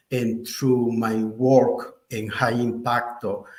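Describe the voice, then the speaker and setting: This is a man talking. He speaks in a Spanish accent. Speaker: artist and faith-based HIV program director. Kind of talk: panel discussion. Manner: halting.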